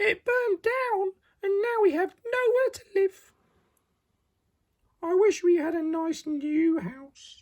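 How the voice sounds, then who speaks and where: A man puts on a squeaky character voice at an extremely high pitch. He talks at a fairly slow pace with long, frequent pauses. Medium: read story.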